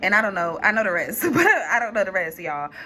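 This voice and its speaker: The woman talks at a very fast pace. Her intonation is lively. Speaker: tarot reader. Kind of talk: tarot reading. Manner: halting, with fillers.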